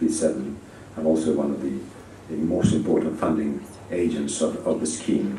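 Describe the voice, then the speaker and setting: A man speaks at a moderate pace with a very deep, low pitch and fairly even intonation. Room echo is audible. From Spain. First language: Spanish. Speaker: ambassador. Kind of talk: conference speech. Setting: conference audience. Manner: hesitant, many fillers.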